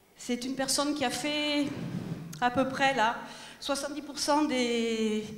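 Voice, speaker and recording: Ordinary pitch variation marks a woman's high voice. The room echo is audible. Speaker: presenter. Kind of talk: stage announcement. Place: stage. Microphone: pa.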